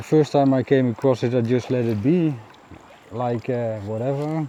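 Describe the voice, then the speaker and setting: A man with a Dutch accent talks at a moderate pace and medium pitch, with ordinary pitch variation. Noticeable background noise runs beneath him. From Netherlands. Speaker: kayaking vlogger. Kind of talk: casual vlog monologue. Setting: outdoors on a river in a kayak. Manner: halting, many fillers.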